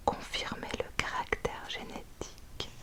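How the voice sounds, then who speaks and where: Behind the speaker there is noticeable background noise. A woman whispers, very slowly. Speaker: ASMR reader. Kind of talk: ASMR book reading. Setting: close to the microphone. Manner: whispered.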